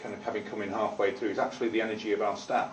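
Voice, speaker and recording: Over background music and audible room echo, a man with a Manchester accent speaks at a very fast pace. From Manchester, northern England. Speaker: tenant management organisation representative. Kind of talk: committee meeting testimony. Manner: halting, many repetitions.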